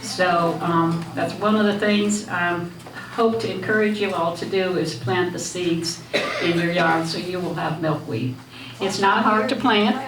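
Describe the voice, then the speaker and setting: Noticeable background noise and audible room echo surround a woman speaking. She has an American accent and ordinary pitch variation. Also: fairly low pitch for a woman, fairly slow pace. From Michigan, US Midwest. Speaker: butterfly enthusiast speaker. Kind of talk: talk to a lunch group. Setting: room with audience, PA microphone. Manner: hesitant, many fillers.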